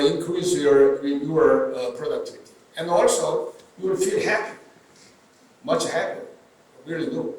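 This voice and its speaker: The recording carries audible room echo and noticeable background noise. Through it, a man talks rather slowly. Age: 70s. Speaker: neurosurgeon. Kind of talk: interview. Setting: stage with audience. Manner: halting, many fillers.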